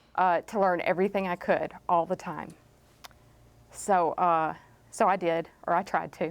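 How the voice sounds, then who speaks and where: A woman with a Southern US accent talks at a fairly slow pace with long, frequent pauses, her pitch fairly low and her intonation monotone and flat. The recording is very clean, with a silent background. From East Texas. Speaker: chemist. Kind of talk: panel talk telling life story. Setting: library talk with audience.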